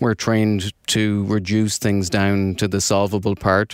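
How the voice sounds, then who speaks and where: A man with an Irish accent speaks at a fairly slow pace, fairly low in pitch and with monotone, flat intonation. The very clean recording has a silent background and a dry, close sound with no echo. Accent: Irish brogue. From Ireland. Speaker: research manager. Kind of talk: interview.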